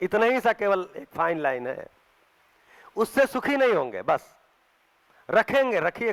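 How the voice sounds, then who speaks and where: The man's voice is high and comes at a fairly slow pace. The sound is dry and close, with no echo. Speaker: spiritual workshop teacher. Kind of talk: lecture.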